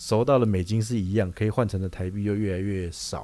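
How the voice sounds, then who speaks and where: This man's voice is fairly low in pitch, with a dark, mellow tone and ordinary pitch variation. The recording is very clean, with a silent background. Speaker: podcast co-host, chemical industry sales. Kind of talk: casual chat.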